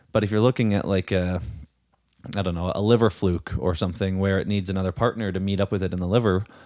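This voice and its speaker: Recorded very cleanly against a silent background, a man speaks in an unremarkable speaking voice at a fairly low pitch. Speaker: podcast co-host. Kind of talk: casual conversation.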